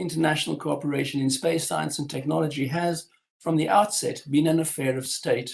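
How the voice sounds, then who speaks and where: Vocal fry at a moderate pace. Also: man. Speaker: history professor. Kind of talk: lecture. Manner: formal.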